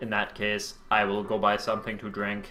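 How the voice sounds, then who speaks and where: A put-on character voice with a robotic sound speaks at a moderate pace. Background noise is clearly audible. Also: man. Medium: read story. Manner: quiet, monotone, robotic.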